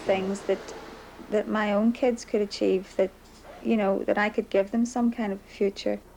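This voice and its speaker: In a Belfast accent, a woman talks at a moderate pace and medium pitch with monotone, flat intonation. Noticeable background noise runs behind her. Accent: Belfast Northern Irish. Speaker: undocumented Irish immigrant mother. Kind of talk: interview.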